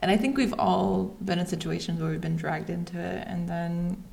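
A somewhat breathy woman with a German accent and a fairly low pitch. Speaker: podcast host. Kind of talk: casual interview chat.

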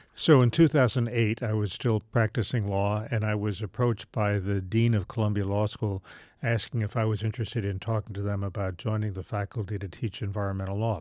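An ordinary speaking voice moves at a fairly quick pace with hardly any pauses and fairly even intonation. The recording is very clean, with a silent background. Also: man, fairly low pitch for a man. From US South, Charleston, West Virginia. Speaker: law professor. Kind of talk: interview.

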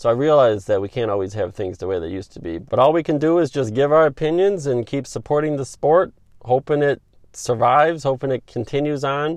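Against a quiet background, a man with an upstate New York accent talks fairly quickly at a fairly high pitch with lively intonation. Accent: northeastern US (upstate New York). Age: 30s. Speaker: sports podcast host. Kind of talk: solo opinion podcast monologue.

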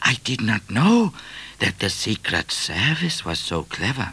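A man's put-on character voice, fairly low in pitch with a bright, sharp tone, big pitch swings and a fairly slow pace

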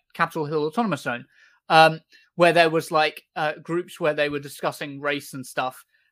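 A man with an unremarkable speaking voice talks at a fairly high pitch and a moderate pace, with fairly even intonation. The sound is dry and close with no echo, on a very clean recording with a silent background. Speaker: podcast host. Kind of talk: casual commentary podcast.

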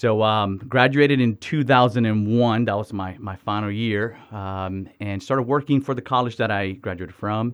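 A man with an American accent and a plain, everyday voice talks at a moderate pace with hardly any pauses, at a fairly low pitch and with fairly even intonation. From Miami, Florida, Dominican family. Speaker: missions organization director. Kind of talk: interview conversation.

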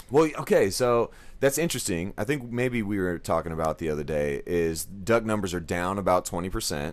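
With a Texas accent and a fairly low pitch, a man talks at a fairly quick pace with lively intonation and hardly any pauses, on a very clean recording with a silent background. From Texas, Dallas area. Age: 30s. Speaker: podcast host and realtor. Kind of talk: casual chat.

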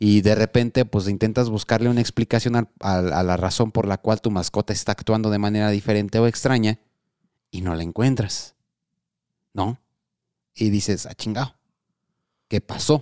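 A man speaks at a moderate pace with a fairly low pitch, a dark, mellow tone and fairly even intonation, taking long, frequent pauses. The recording is very clean and silent in the background, with a dry, close sound and no echo. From Morelia, Mexico. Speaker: podcast host. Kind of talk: casual chat podcast, live stream.

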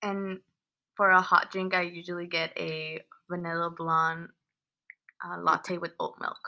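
The speaker, in a Californian accent, has a bright, sharp tone and monotone, flat intonation. The pace is fairly slow, with long, frequent pauses. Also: woman, fairly low pitch for a woman, big swings in loudness. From San Fernando Valley, California. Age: 20s. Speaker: engineering student. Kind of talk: casual chat. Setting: at home with housemates.

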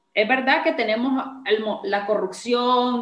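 There is audible room echo in this clip. Through it, a woman talks. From Nicaragua. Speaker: podcast host. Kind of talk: interview.

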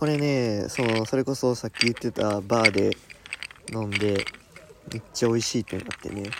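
Over noticeable background noise, a man with a Kansai accent speaks at a moderate pace in a medium pitch, his intonation fairly even. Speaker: Buddhist monk, podcast co-host. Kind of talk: casual chat. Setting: campsite, by a campfire. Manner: quieter than usual.

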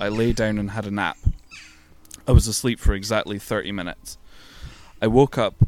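A man with a British accent, fairly low in pitch, fairly even in intonation, at a moderate pace with long, frequent pauses and big swings in loudness. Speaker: podcast co-host. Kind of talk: reading aloud. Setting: outdoors in a tent in a back garden.

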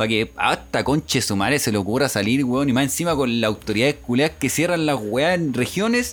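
In a Chilean accent, the speaker talks at a fairly quick pace with hardly any pauses. Intonation is lively while loudness stays very even. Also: man, medium pitch for a man. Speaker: podcast co-host. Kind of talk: casual chat.

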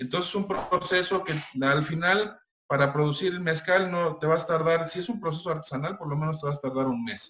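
Speaking with a Mexican accent, a man talks at a fairly quick pace with a high pitch and ordinary pitch variation. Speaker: mezcal producer. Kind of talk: interview. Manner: halting.

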